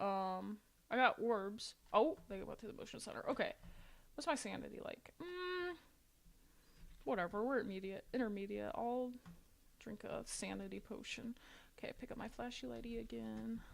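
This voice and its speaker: In an American accent, a woman talks at a moderate pace with long, frequent pauses. Her loudness swings widely. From Ohio, US Midwest. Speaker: gaming streamer. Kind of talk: casual gameplay chat; talking to a ghost in a game. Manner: casual, filler-heavy.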